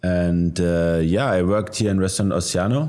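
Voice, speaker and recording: A man's very deep, low voice with a German accent, dark and mellow in tone, fairly even in intonation and moderate in pace, on a very clean recording with a silent background. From Germany. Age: 30s. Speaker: chef. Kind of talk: interview. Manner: halting, with frequent fillers.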